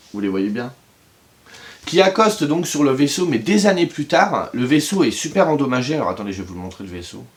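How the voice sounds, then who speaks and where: Talking at a fairly quick pace, a man with a fairly high pitch makes very wide pitch swings and big swings in loudness. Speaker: book reviewer youtuber. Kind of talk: casual video review. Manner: hesitant with fillers.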